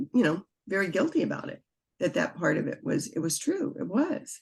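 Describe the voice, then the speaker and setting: There is vocal fry in this voice, which moves at a moderate pace through very wide pitch swings. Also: woman. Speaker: author, birth mother. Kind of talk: interview answer.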